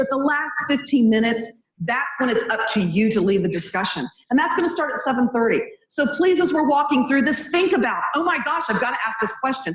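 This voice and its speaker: A woman's high, lively voice at a fairly quick pace, with audible room echo. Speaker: event moderator. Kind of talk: panel moderation. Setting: stage with audience.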